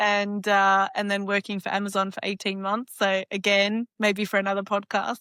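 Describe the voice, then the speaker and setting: Recorded very cleanly against a silent background, a woman with an Australian accent speaks at a moderate pace in a medium pitch, her tone bright and sharp, the sound dry and close with no echo. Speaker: fractional CFO, business founder. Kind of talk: podcast interview.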